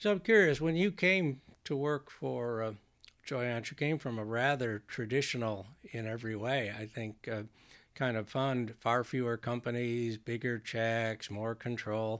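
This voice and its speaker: A man speaks in an unremarkable speaking voice, medium in pitch with ordinary pitch variation, at a fairly slow pace. The recording is very clean, with a silent background. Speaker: podcast host. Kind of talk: casual interview chat.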